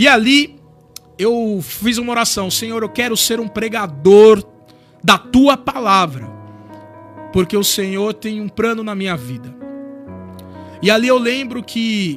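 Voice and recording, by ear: With music in the background, a man speaks at a high pitch with ordinary variation, moving fairly slowly with long, frequent pauses.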